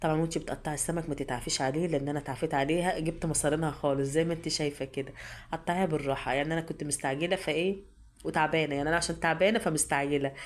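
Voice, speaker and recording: Her pitch is very deep and low for a woman. She speaks at a very fast pace. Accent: Egyptian. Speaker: cooking channel host. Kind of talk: cooking tutorial. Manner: halting, repeats words.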